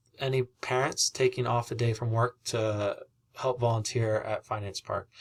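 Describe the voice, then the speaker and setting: Somewhat breathy, a man speaks with fairly even intonation. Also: very clean recording, silent background. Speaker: civics teacher. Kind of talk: recorded presentation to parents. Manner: halting, with frequent fillers.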